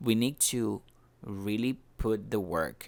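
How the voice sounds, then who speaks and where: A man in a Spanish accent with ordinary pitch variation, in a very clean recording with a silent background. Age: 30s. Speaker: vlogger. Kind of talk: personal vlog monologue. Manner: halting, many repetitions and fillers.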